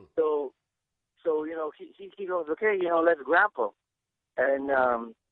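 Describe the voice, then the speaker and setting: A man speaks at a moderate pace with a Bulgarian accent. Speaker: Sambo champion and grappling coach. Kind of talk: podcast interview. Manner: halting, many fillers and repeats.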